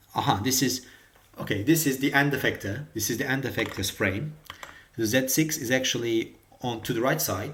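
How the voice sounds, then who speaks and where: Over noticeable background noise, a speaker with a non-native accent talks at a moderate pace with ordinary pitch variation. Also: man, medium pitch for a man. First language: not English. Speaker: robotics hobbyist tutorial maker. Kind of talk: tutorial. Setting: screen recording with OBS. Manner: halting, many fillers and repetitions.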